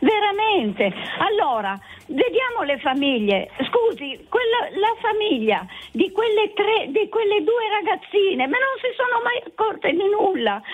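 Music plays behind a woman whose extremely high voice moves in very wide pitch swings at a fairly slow pace. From Turin, Italy.

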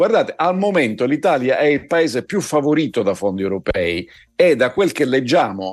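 A man at a moderate pace with very wide pitch swings, music in the background. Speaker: political commentator. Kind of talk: news commentary.

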